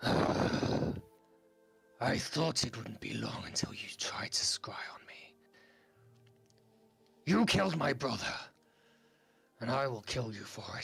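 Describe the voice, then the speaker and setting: A man whispers in a put-on character voice at a fairly slow pace, with long, frequent pauses, big swings in loudness, and music in the background. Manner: menacing, vengeful.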